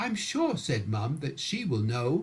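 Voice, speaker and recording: A man with a British accent speaks at a fairly slow pace, his pitch swinging very widely. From England. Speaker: storyteller. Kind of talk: bedtime story reading.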